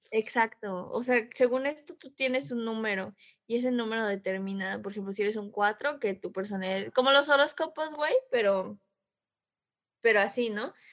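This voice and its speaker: Her loudness swings a lot as a woman talks at a fairly high pitch with ordinary pitch variation. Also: moderate pace. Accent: Mexican. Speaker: podcast co-host. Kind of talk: casual chat.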